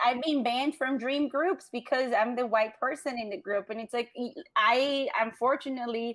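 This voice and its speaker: Here a woman speaks at a moderate pace with hardly any pauses. Her pitch is high and her intonation fairly even. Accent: Latin American. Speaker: business owner. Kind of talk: interview.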